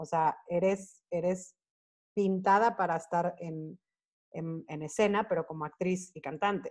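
A woman with a Mexican accent speaks in a fairly even intonation while her loudness swings widely. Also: fairly low pitch for a woman. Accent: Mexican Spanish accent when speaking English. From Monterrey, northern Mexico. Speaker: choreographer, dancer and actress. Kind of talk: casual interview. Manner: talkative, fast-flowing.

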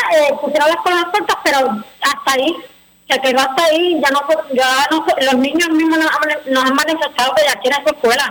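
At a fairly quick pace, a woman speaks in a high pitch with ordinary pitch variation and very even loudness. Noticeable background noise can be heard. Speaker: parents' group spokesperson. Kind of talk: radio interview.

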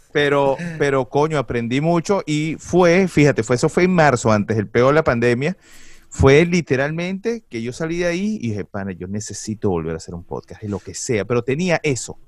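A man's fairly high voice at a moderate pace, with very wide pitch swings and big swings in loudness. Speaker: commercial voice-over announcer and podcaster. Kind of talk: casual chat.

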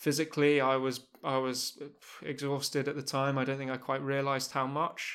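A man with an English accent speaks at a moderate pace in a fairly high, monotone, flat voice on a very clean recording with a silent background. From England. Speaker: former professional squash player, podcast host. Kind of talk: podcast intro monologue; interview (being interviewed).

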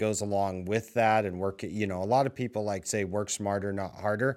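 A man with a normal speaking voice in an American accent, fairly low-pitched with fairly even intonation at a moderate pace, on a very clean recording with a silent background. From Washington State, Tri-Cities area. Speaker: real estate team leader. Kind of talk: interview.

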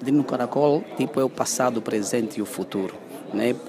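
Noticeable background noise fills the recording. The speaker talks at a very fast pace. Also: man. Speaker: theatre festival organiser. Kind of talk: interview.

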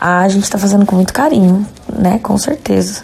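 Moderate pace over noticeable background noise. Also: woman. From Jundiaí, São Paulo state, Brazil. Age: 30s. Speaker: rock band singer. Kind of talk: recorded interview answers.

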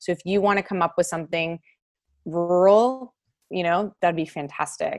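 A woman talks at a fairly quick pace in a normal speaking voice with an American accent. Her pitch is fairly low, with ordinary variation. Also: very clean recording, silent background. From Texas. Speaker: residency program director, physician. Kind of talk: panel presentation.

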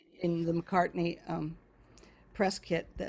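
A woman speaks at a fairly slow pace and fairly low pitch with vocal fry. Her intonation is monotone and flat. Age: 60s. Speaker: voice teacher. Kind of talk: casual chat.

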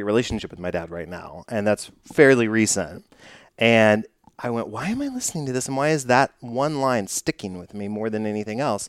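A man with an American accent and an unremarkable speaking voice talks at a fairly quick pace and medium pitch, with ordinary pitch variation. His loudness swings widely on a very clean recording with a silent background. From Texas (Dallas). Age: 30s. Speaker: podcast host. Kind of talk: casual interview; scripted show intro.

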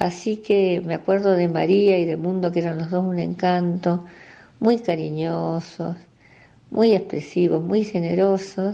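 With an Argentine accent, a woman with a fairly low voice speaks fairly slowly in a monotone, flat way. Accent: Rioplatense Argentine Spanish. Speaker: local resident sharing memories. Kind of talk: recorded personal reminiscence.

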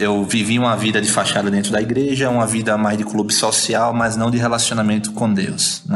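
A man with a Rio Grande do Norte accent speaks at a fairly quick pace with hardly any pauses, in a fairly low pitch and a monotone, flat intonation. Audible room echo and music play in the background. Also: very even loudness. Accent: Potiguar northeastern Brazilian. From Brazil, Natal (Rio Grande do Norte). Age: 30s. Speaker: missionary. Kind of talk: casual chat, personal testimony.

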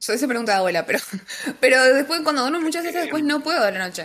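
The speaker is a woman. Her intonation is lively. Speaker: podcast co-host. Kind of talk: casual chat. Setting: live stream.

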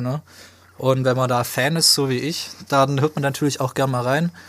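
A man at a moderate pace, medium in pitch. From Swabia, southwestern Germany. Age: 20s. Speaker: podcast co-host, media student. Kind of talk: casual chat.

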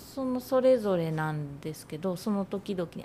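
A woman talks with lively intonation and a somewhat breathy quality. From Nagano, Iida (southern Nagano). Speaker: freelance designer and writer. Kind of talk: casual interview.

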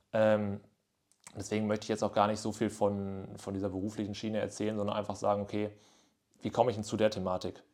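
A man at a very fast pace with long, frequent pauses, fairly low-pitched and monotone, in a very clean recording with a silent background. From northwestern Germany, near Münster. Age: 20s. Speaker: podcast host. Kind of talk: casual solo monologue. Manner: casual with frequent fillers.

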